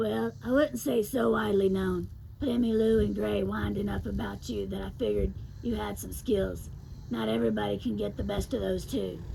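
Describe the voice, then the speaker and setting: A woman's gravelly, put-on character voice at a fairly quick pace, over clear background noise. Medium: read story. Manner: talkative, smooth-talking.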